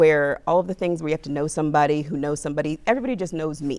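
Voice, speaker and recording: A woman's very deep, low voice with an American accent at a very fast pace, on a very clean recording with a silent background. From US South (Aiken, South Carolina). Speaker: blogger. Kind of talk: interview.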